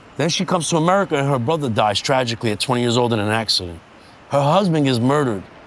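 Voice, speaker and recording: Very fast and with lively intonation, a man speaks at a medium pitch in a New York accent. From US Northeast, Bushwick, Brooklyn, New York City. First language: Sicilian. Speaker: street art community founder. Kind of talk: interview, personal story.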